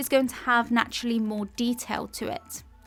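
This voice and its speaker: A woman with an English accent speaks at a high pitch in a monotone, flat intonation. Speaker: art tutor. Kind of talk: narrated painting tutorial.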